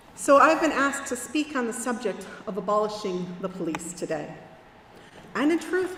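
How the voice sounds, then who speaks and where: Noticeable background noise and audible room echo accompany a woman speaking at a moderate pace with a fairly high pitch that swings very widely. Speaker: minister. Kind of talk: sermon. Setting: church.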